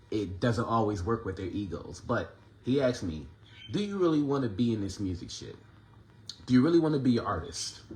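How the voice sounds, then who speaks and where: Lively intonation and a fairly quick pace come from a medium-pitched man. Audible room echo is present. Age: 30s. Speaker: independent musician and vlogger. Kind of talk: casual monologue. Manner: conversational, filler-heavy.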